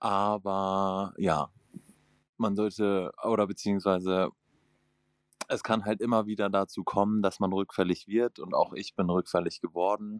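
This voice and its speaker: A man's fairly low, monotone, flat voice, fairly slow with long, frequent pauses, on a very clean recording with a silent background and a dry, close sound with no echo. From northern Germany. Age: 20s. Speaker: recovering gambling addict. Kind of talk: self-help group conversation.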